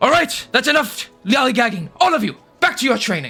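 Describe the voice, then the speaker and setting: A man uses a put-on character voice at an extremely high pitch. He speaks at a fairly quick pace over faint music in the background. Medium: actual play. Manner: gruff, authoritative.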